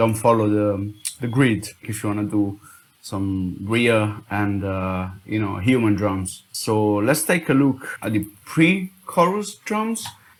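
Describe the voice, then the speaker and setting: The voice has an Italian accent. The pace is fairly slow. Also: man. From Italy. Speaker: music producer. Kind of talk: tutorial. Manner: halting.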